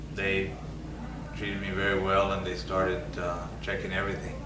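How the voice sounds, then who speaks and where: With an American accent, a man talks at a moderate pace amid audible room echo and noticeable background noise. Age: 60s. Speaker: Vietnam veteran and prostate cancer patient. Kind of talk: patient testimony. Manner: halting, with frequent fillers and repetitions.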